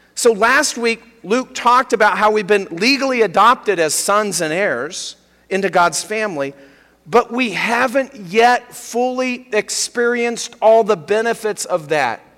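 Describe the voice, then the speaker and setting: A man talks at a fairly slow pace in a high voice with ordinary pitch variation, over noticeable background noise. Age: 50s. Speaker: pastor. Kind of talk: sermon.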